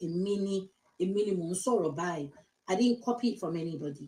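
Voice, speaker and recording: A woman speaks at a moderate pace in a dark, mellow, somewhat breathy tone. Her intonation is lively. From Nigeria, Lagos. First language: Yoruba. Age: 50s. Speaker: social media vlogger. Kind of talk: casual monologue. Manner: code-switching English and Yoruba.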